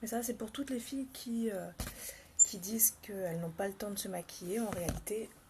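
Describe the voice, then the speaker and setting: Soft-spoken and fairly high in pitch, a woman talks at a moderate pace with ordinary pitch variation amid noticeable background noise. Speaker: makeup vlogger. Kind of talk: live makeup tutorial. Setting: home livestream, early morning. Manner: casual, chatty.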